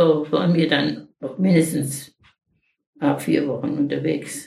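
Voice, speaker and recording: In a room with audible echo, a woman speaks at a very slow pace with vocal fry. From Lower Silesia. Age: 80s+. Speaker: wartime refugee, eyewitness. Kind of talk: oral history interview. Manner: halting.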